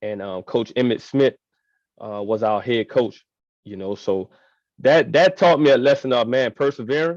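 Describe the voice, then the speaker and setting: A man with an American accent talks at a moderate pace and medium pitch, with lively intonation and big swings in loudness. The sound is dry and close with no echo, over a quiet background. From New Orleans, Louisiana. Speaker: high school football coach. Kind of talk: interview. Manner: halting, repeats words.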